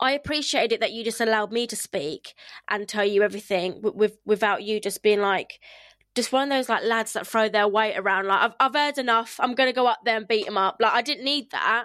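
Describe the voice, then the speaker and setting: A woman with a southern English accent, fairly high-pitched and bright, sharp in tone, at a fairly quick pace with ordinary pitch variation, in a very clean recording with a silent background. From England, Kent. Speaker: podcast host. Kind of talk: casual chat. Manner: fast talker; loud.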